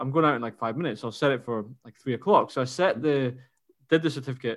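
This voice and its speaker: A man talks very fast in a Scottish accent. His pitch is fairly high, with ordinary pitch variation. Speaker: running podcast co-host. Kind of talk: casual chat. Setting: remote call.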